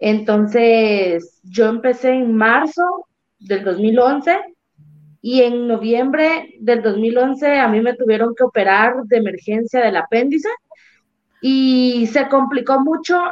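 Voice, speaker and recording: A woman's high pitch at a very slow pace, with ordinary pitch variation. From Jalapa, Guatemala. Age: 20s. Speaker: Olympic weightlifter. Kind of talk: interview.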